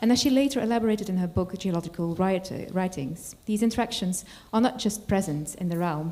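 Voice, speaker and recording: This woman's voice is somewhat breathy, with a dark, mellow tone. She talks at a fairly quick pace with ordinary pitch variation. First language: not English. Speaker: college lecturer introducing a guest speaker. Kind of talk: formal lecture introduction. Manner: formal; halting, with self-corrections.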